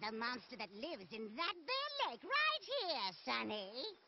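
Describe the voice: This is a cartoonish character voice at a moderate pace. Background noise is clearly audible. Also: female-sounding voice.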